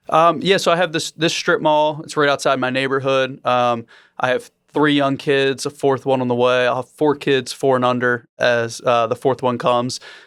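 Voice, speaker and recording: A man with an American accent speaks at a moderate pace in an ordinary speaking voice, medium in pitch with fairly even intonation, on a very clean recording with a silent background. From Maryland, US. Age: 30s. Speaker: real estate investor. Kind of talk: podcast interview.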